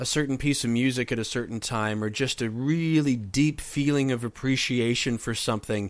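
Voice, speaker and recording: On a very clean recording with a silent background, a man talks in a normal speaking voice. He keeps a moderate pace and ordinary pitch variation. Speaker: podcast host. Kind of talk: podcast interview questions.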